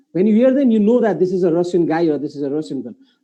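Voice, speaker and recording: A man with a Nepali accent, very fast pace, and lively intonation. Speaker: moderator of live business webinar. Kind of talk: live panel discussion.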